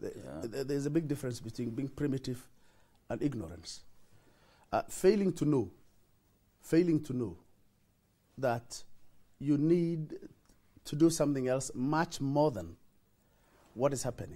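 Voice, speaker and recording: Somewhat breathy and dark, mellow in tone, a man speaks at a fairly high pitch and moderate pace with lively intonation and long, frequent pauses. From northeastern Kenya, Wajir; northeastern Kenya. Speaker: senator. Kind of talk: TV interview. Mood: earnest, explanatory. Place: studio. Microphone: lapel.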